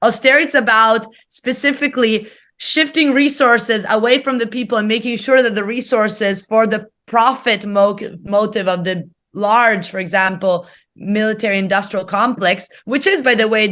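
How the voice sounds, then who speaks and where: Against a quiet background, a woman with an Italian accent speaks at a moderate pace in a bright, sharp tone, her fairly high pitch showing ordinary variation. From Italy. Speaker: economics professor. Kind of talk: interview.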